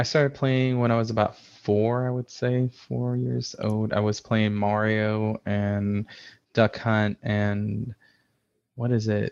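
Over a quiet background, a man speaks at a fairly low pitch with ordinary pitch variation and a dry, close sound with no echo. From US Midwest, Chicago suburbs. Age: 30s. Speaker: IT system administrator and game streamer. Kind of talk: casual interview. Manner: hesitant, many fillers.

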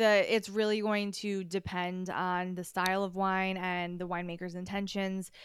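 In an American accent, a woman talks at a moderate pace and medium pitch with monotone, flat intonation. The recording is very clean with a silent background. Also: hardly any pauses. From upstate New York. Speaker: wine expert. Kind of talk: casual interview.

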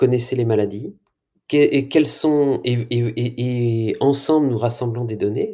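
The man's voice has a medium pitch and a dark, mellow tone. He talks at a very slow pace with ordinary pitch variation. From Brittany, France. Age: 40s. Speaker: health tech CEO. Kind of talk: interview. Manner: halting.

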